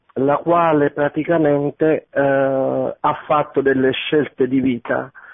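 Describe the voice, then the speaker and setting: The delivery is very slow, with a monotone, flat intonation. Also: man. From Naples. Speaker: radio caller. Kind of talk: testimony. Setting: phone call.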